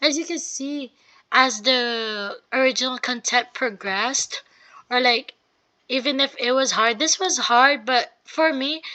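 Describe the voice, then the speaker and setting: A woman's raised, projected voice, high-pitched, bright and sharp, fairly slow, with ordinary pitch variation and a quiet background. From Philippines. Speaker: university student. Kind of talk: portfolio presentation. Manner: halting, many fillers.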